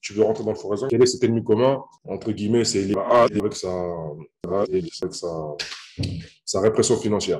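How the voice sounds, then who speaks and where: With ordinary pitch variation and a dark, mellow tone, a man talks at a fairly quick pace. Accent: Paris suburban. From French Antilles, raised in Paris suburbs. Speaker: online trading coach. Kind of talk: interview. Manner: casual, hesitant with many fillers.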